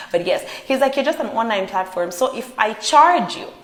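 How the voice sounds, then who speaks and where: A woman with an animated tone and very wide pitch swings, over noticeable background noise. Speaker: pop culture vlogger. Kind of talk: celebrity gossip vlog.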